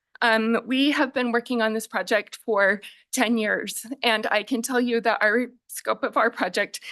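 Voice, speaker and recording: Her voice is shaky and fairly high, with fairly even intonation at a moderate pace. The woman's sound is dry and close, with no echo. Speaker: nonprofit real estate development director. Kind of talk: public testimony.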